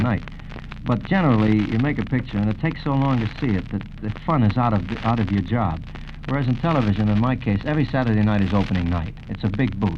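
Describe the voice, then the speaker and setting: A man talks at a very fast pace in a fairly low pitch, with noticeable background noise around him. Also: ordinary pitch variation. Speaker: singer and television host being interviewed. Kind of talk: radio interview answer. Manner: conversational, relaxed, warm.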